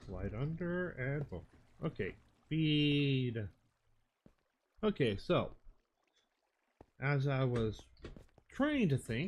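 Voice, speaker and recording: A man mumbles at a very slow pace, leaving long, frequent pauses. His voice is somewhat breathy and fairly high, with lively intonation. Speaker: Minecraft streamer. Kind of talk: live gameplay stream. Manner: mumbling to himself; halting, thinking aloud.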